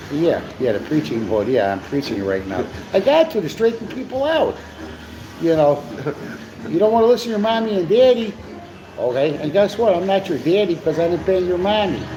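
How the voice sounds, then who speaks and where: Over noticeable background noise, a man with an American accent speaks at a fairly quick pace with an animated tone and long, frequent pauses. His pitch is high and swings very widely. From US Midwest, Chicago. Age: 60s. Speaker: live stream co-host. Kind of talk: casual live stream chat. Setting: cafe. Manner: animated, repetitive with many fillers.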